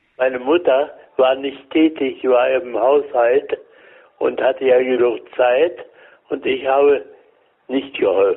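Long, frequent pauses in a man's very slow speech. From Berlin. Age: 90s. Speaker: elderly witness of wartime Berlin. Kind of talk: interview, telling memories. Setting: phone call. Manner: halting.

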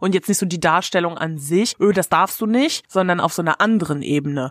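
A woman with a fairly low pitch and a normal speaking voice, fairly quick, with ordinary pitch variation, on a very clean recording with a silent background and a dry, close sound with no echo. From Germany. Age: 20s. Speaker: live-action role-player. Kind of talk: casual chat.

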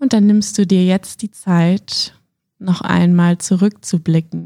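A woman speaks at a very slow pace in a calm, soothing tone that is dark and mellow, at a medium pitch. Her intonation is fairly even, and the sound is dry and close with no echo. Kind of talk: guided meditation. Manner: slow, calm, soothing, with long pauses; gentle, warm, intimate.

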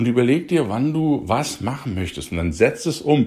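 The voice is somewhat breathy with a dark, mellow tone, moving fairly slowly through very wide pitch swings on a very clean recording with a silent background. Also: man. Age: 40s. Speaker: youth coach, podcast host. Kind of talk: motivational podcast monologue.

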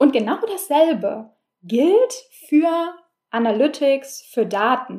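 Very slowly and with long, frequent pauses, a woman speaks in a high pitch with a dark, mellow tone and very wide pitch swings. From Berlin, Germany. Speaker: podcast host, analytics consultant. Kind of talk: solo podcast monologue. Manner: casual, many filler sounds.

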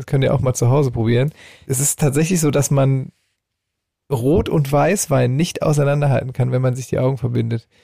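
A man talks at a moderate pace with fairly even intonation and a medium pitch, his voice somewhat breathy with a dark, mellow tone. The sound is dry and close, with no echo. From rural Germany (village). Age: 40s. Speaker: band member and podcast co-host. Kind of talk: casual chat.

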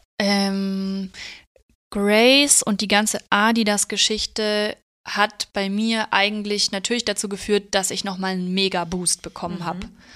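A woman's medium-pitched voice, bright and sharp in tone, fairly slow and monotone, in a very clean recording with a silent background and a dry, close sound with no echo. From Bavaria, Germany. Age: 30s. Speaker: tattoo artist. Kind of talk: casual interview chat.

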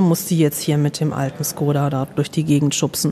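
A woman speaks over noticeable background noise. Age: 40s. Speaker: social worker. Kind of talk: casual interview. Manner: hesitant, many fillers.

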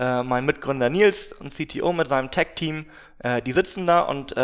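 Delivered in a normal speaking voice, the speech keeps a moderate pace and ordinary pitch variation. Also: man. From northern Germany, Glückstadt on the Elbe. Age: 20s. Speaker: startup founder. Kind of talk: interview. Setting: office.

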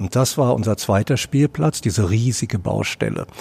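Lively intonation runs through a man's medium-pitched voice. He sounds somewhat breathy and keeps a moderate pace. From Berlin (Charlottenburg-Wilmersdorf area). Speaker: author and director. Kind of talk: interview. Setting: theatre foyer.

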